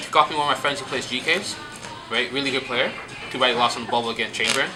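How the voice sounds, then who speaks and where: A man's voice comes through with audible room echo, and noticeable background noise lingers underneath. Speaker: card game player presenting his deck. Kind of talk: casual deck showcase. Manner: fast; halting.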